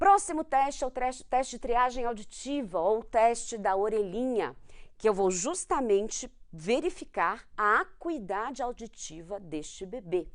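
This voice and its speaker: Fairly high pitch and very wide pitch swings from a woman speaking at a fairly slow pace against a quiet background. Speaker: medical exam prep teacher, pediatrician. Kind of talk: lecture.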